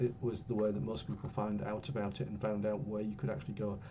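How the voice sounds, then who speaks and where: Amid audible room echo, a man with an English accent talks at a fairly quick pace, fairly low in pitch, with ordinary pitch variation. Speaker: university lecturer. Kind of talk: lecture. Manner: hesitant, many fillers. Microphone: a bit quiet.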